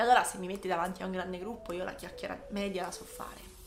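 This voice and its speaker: A woman talks at medium pitch and a fairly quick pace with fairly even intonation. The room echoes audibly, and background noise is noticeable. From Italy, Ancona (Marche). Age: 30s. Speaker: psychologist and podcast host. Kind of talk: casual monologue.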